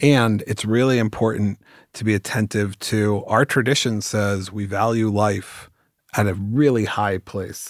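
In an American accent, a man with a fairly low pitch uses an ordinary speaking voice at a fairly slow pace on a very clean recording with a silent background. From US West Coast (Bay Area). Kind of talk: casual chat.

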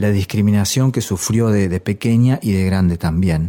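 A man with a fairly low pitch speaks fairly slowly, with ordinary pitch variation. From Argentina, La Pampa and various provinces. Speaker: musician and teacher. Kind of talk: documentary interview. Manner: halting, many repetitions and fillers.

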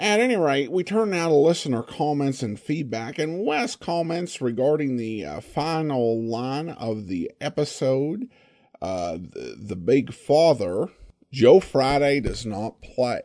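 Over a quiet background, the speaker talks at a very slow pace with a dark, mellow tone, very wide pitch swings and an American accent. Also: man, fairly high pitch for a man. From Boise, Idaho. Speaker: podcast host. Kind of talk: podcast intro and commentary, casual.

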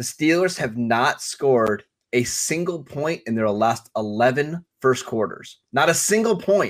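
A plain, everyday voice belongs to a man speaking at a medium pitch with lively intonation. He goes at a fairly slow pace with hardly any pauses. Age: 30s. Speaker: fantasy football podcast co-host. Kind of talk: casual chat.

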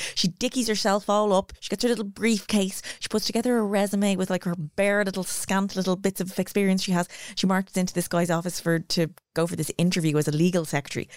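Over a silent background in a very clean recording, a woman with an Irish accent talks at a very fast pace with fairly even intonation. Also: medium pitch for a woman, dry, close sound with no echo. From Ireland. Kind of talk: casual chat. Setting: studio.

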